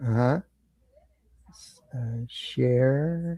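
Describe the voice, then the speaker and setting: The sound is dry and close with no echo as a man speaks in a somewhat breathy voice with a dark, mellow tone. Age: 70s. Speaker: author and ufology researcher. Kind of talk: interview. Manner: halting, many fillers.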